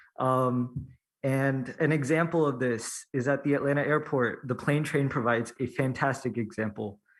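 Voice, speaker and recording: A man talks at a moderate pace and medium pitch. The recording is very clean, with a silent background. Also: fairly even intonation, very even loudness. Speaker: university student, public commenter. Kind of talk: public hearing testimony. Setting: public hearing, in person. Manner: hesitant, many fillers.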